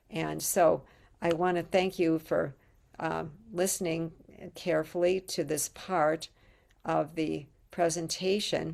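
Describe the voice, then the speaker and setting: With vocal fry and a fairly low pitch, a woman speaks very slowly in a monotone, flat intonation, leaving long, frequent pauses. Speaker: spiritual channeler and painter. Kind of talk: casual presentation to camera. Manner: hesitant, many fillers.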